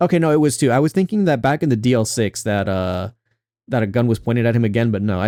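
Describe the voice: Over a quiet background comes plain reading aloud, its intonation lively.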